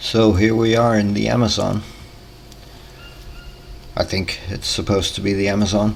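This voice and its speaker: Someone with a Danish accent speaks at a moderate pace, leaving long, frequent pauses, with noticeable background noise. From Denmark. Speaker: gaming YouTuber. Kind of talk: gameplay tutorial commentary. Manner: hesitant, with filler pauses.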